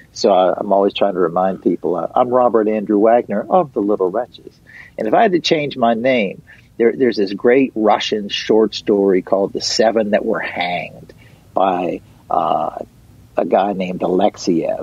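A man talks with an American accent in an ordinary speaking voice. His pitch is fairly low, with ordinary variation, and his pace is moderate. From Western Pennsylvania. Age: middle-aged. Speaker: punk/folk musician. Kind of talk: interview. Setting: radio studio.

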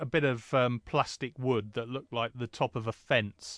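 The speaker is a man who moves at a moderate pace. His accent is English. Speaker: podcast co-host. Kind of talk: casual chat.

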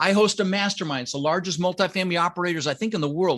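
In a quiet background, a man with an American accent and a high pitch speaks at a fairly quick pace with ordinary pitch variation. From Colorado. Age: 60s. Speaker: real estate investor. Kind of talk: interview.

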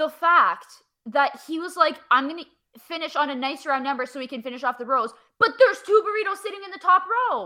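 High-pitched, raised and projected woman's voice with a Canadian accent, very wide pitch swings and big swings in loudness. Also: fairly quick pace. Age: 20s. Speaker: podcaster and graduate student. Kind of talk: casual chat.

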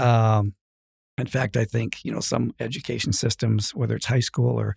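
A man's voice, dry and close with no echo. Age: 60s. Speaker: rancher and college president. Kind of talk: casual interview chat.

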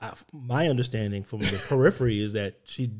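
A man with a somewhat breathy voice speaks at a medium pitch, and his pitch varies in an ordinary way. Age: 50s. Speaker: podcast host. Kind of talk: casual chat.

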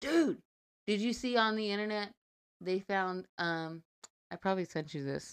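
Heard in a very clean recording with a silent background and a dry, close sound with no echo, a woman of medium pitch speaks at a moderate pace with lively intonation and long, frequent pauses. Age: 30s. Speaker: podcast co-host. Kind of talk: scripted outro; casual chat.

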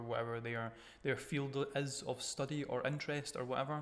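Here is a man with an unremarkable speaking voice at a medium pitch. His pace is fairly quick and his intonation fairly even. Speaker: podcast host. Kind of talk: casual chat. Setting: home recording with makeshift microphones.

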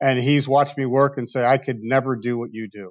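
In a normal speaking voice, a man with an American accent speaks at a medium pitch and with fairly even intonation. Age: 50s. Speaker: car dealership owner. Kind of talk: interview.

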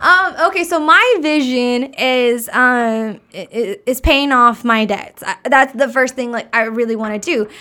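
A woman speaks in an American accent at a high pitch. Her pace is fairly slow. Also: lively intonation. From Arkansas, US South. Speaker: podcast guest, speaker and workshop leader. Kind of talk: casual chat.

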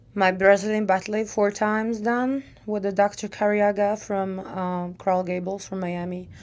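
Very slow speech with fairly even intonation comes through on a very clean recording with a silent background. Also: woman. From Czech Republic.

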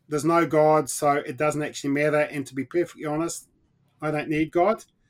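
A man with a New Zealand accent and a fairly high pitch, on a very clean recording with a silent background. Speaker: mission organization leader, former pastor. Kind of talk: interview.

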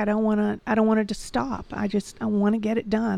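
A woman with a Southern US accent, fairly high in pitch, at a moderate pace in a dry, close sound with no echo. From Georgia, US South. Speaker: podcast producer. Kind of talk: casual chat.

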